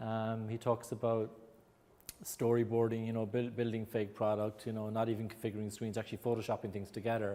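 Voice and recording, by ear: A man with an Irish accent speaks at a fairly quick pace in a fairly low, dark, mellow voice with monotone, flat intonation.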